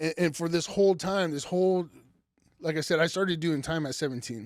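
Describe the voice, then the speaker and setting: A man with an American accent, high-pitched, at a fairly quick pace with ordinary pitch variation. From Idaho, US. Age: 30s. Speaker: business owner and former prisoner. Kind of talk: interview.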